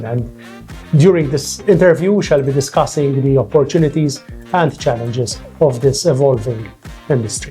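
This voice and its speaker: A man talks at a moderate pace, his pitch varying in an ordinary way, as music plays behind him. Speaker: lawyer and academic, podcast host. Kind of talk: podcast interview host questions.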